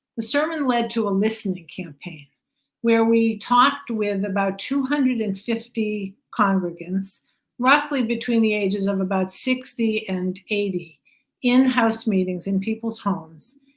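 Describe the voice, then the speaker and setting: A woman's fairly high, somewhat breathy voice with an American accent, ordinary pitch variation and a fairly slow pace. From US Northeast (Boston). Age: 70s. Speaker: rabbi and author. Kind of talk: book talk interview.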